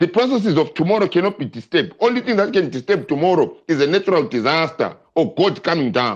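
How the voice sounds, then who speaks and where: With hardly any pauses, the voice rushes along at a very fast pace, lively in intonation and animated in tone. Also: man, high pitch for a man. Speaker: political discussant. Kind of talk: heated debate. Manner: direct.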